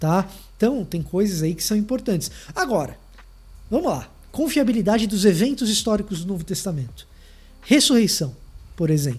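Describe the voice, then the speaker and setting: A man's high-pitched voice at a moderate pace, with very wide pitch swings, long and frequent pauses, and audible room echo. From Salvador, Bahia, Brazil. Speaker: theologian. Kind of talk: lecture.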